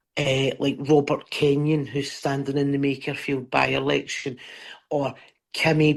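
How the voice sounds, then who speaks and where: A woman with a very deep, low pitch and a Scottish accent, at a moderate pace. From Scotland. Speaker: stand-up comedian. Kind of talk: interview answer. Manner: passionate, emphatic.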